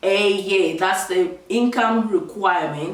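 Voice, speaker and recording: Over noticeable background noise and audible room echo, a woman speaks with ordinary pitch variation. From Zambia. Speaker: vlogger. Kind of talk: tutorial. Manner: casual, chatty.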